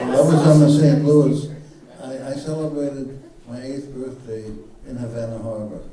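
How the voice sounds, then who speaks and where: A man's fairly high voice at a moderate pace, fairly even intonation, big swings in loudness and long, frequent pauses, with noticeable background noise and audible room echo. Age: 80s+. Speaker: Holocaust refugee survivor. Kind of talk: panel Q&A testimony.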